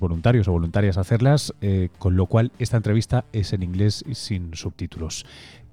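A man's fairly low, dark and mellow voice at a very fast pace, dry and close with no echo. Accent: Spanish. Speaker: podcast host and science journalist. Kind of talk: scripted narration; interview.

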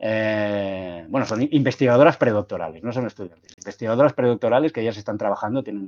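Delivered at a very fast pace, the speech has ordinary pitch variation and big swings in loudness in a dry, close sound with no echo. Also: man. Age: 40s. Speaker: science communicator. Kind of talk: casual interview conversation. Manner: hesitant, many fillers.

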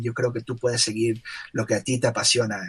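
Somewhat breathy, a man's medium-pitched voice moves at a moderate pace. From Ecuador, Guayaquil. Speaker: illustrator and animator. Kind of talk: casual interview. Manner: halting, many fillers and repetitions.

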